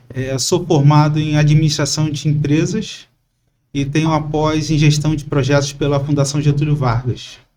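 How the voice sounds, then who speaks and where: Speaking at a moderate pace, a man sounds somewhat breathy, his intonation monotone and flat. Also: fairly high pitch for a man. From Brazil, Itaguaí (Rio de Janeiro state). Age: 40s. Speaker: civil servant, candidate for city council. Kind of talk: podcast interview. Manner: hesitant, with fillers.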